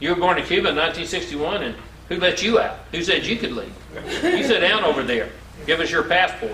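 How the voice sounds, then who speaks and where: A man with a Southern US accent, high-pitched, speaking very fast with ordinary pitch variation, over noticeable background noise and audible room echo. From US Deep South. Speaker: motivational speaker. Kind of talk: motivational talk.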